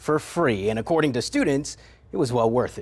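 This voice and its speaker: At a fairly quick pace, a man with an ordinary speaking voice talks at a medium pitch with lively intonation. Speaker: TV news anchor. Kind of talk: TV news anchor read.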